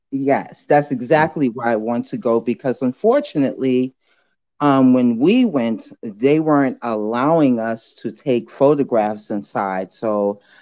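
A woman's very deep, low pitch and dark, mellow tone at a fairly slow pace, with ordinary pitch variation, a dry sound with no echo, and a quiet background. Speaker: caller. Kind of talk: casual chat. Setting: phone call. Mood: cheerful, smiling. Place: home room. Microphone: video call.

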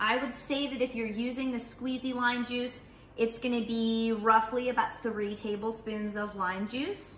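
A woman speaks at a fairly high pitch with a fairly bright tone and little pitch movement. Her pace is fairly slow, with faint background noise.

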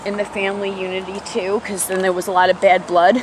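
The voice has an American accent and a moderate pace. Noticeable background noise runs underneath. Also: woman. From New York City, Bronx. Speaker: vlogger and mother. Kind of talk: casual vlog, confessional life story about family hurt and recovery. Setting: outdoors, walking uphill. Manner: conversational, halting with fillers, candid and earnest.

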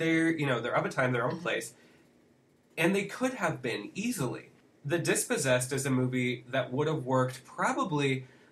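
Against noticeable background noise, a man talks at a fairly quick pace with lively intonation. He leaves long, frequent pauses. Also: fairly high pitch for a man. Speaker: podcast co-host. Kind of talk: casual conversation about books and film. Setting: studio.

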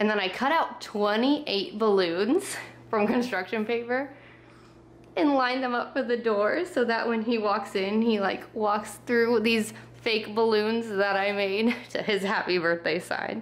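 Speaking at a fairly slow pace, a woman keeps her loudness very even and her pitch varies in an ordinary way. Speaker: vlogger. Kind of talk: casual vlog chat. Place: home room. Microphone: phone near.

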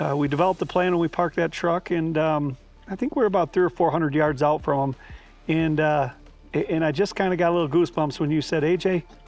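Fairly even intonation at a fairly quick pace, with faint music in the background. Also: man. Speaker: guest. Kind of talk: interview answer. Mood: warm, reflective. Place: garden. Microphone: lapel.

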